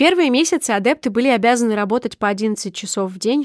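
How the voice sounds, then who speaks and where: A woman with a fairly high pitch speaks in a normal speaking voice with ordinary pitch variation. The sound is dry and close with no echo, on a very clean recording with a silent background. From Sakhalin region, Russian Far East. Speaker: podcast co-host. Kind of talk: scripted narration; casual chat.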